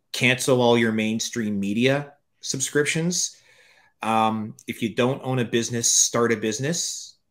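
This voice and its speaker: A man with a normal speaking voice talks at a fairly slow pace and medium pitch with ordinary pitch variation, in a very clean recording with a silent background. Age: 50s. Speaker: author and entrepreneur. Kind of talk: interview.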